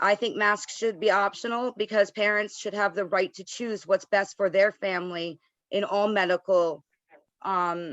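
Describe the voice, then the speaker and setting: In an unremarkable speaking voice, the speaker keeps a moderate pace and fairly even intonation. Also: woman, medium pitch for a woman. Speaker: board of education member. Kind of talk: public meeting statement. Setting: video call.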